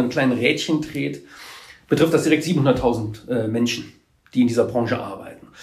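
A somewhat breathy voice comes through with audible room echo. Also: man. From Trier area, Rhineland-Palatinate. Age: 50s. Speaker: trade association executive. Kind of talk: interview.

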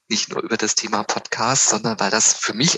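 A man with an ordinary speaking voice talks at a fairly quick pace, his intonation lively. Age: 50s. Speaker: psychological counselor and coach. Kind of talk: casual chat.

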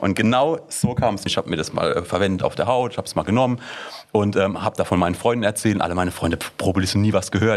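A man's fairly low voice, very fast, with ordinary pitch movement. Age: 20s. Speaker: startup founder. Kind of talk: interview.

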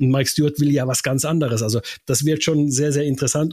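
Fairly high male speech, somewhat breathy, ordinary in its pitch variation. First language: Finnish (speaking German). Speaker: radio sports reporter. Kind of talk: casual chat.

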